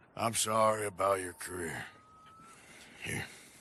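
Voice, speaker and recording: Putting on a character voice, a man talks in a raspy, fairly low pitch at a moderate pace. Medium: video game. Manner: gruff, drawling, plainspoken.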